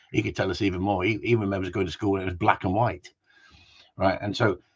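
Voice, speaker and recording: A man with an English accent, somewhat breathy and animated in tone, at a fairly quick pace. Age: 60s. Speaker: gundog trainer. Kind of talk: casual chat. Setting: live stream.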